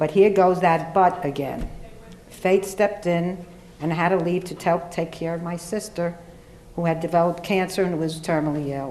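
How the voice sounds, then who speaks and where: Against noticeable background noise, a woman with a fairly low voice talks at a moderate pace in a flat monotone. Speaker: lawyer. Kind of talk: panel speech to college audience.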